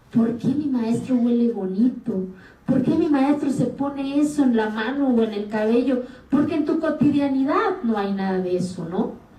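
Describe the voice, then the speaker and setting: A woman speaks with an Oaxacan accent at a high pitch, her intonation lively. The room's echo is audible. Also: moderate pace. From Mexico, Oaxaca Sierra Sur, Zapotec community. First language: Zapotec (speaking Spanish). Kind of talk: interview. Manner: animated.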